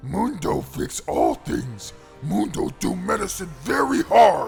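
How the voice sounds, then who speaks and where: A man talks in a put-on character voice at a fairly slow pace. Music plays clearly in the background. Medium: read story. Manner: simple broken speech.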